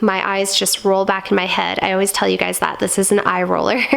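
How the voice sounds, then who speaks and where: A woman's voice amid noticeable background noise. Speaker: perfume reviewer. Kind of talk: casual talk to camera.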